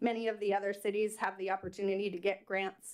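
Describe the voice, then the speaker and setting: This is a woman speaking at a moderate pace. Her pitch sits in the medium range. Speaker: PTSA president, public commenter. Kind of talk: public comment at council meeting. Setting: city council meeting. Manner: loud.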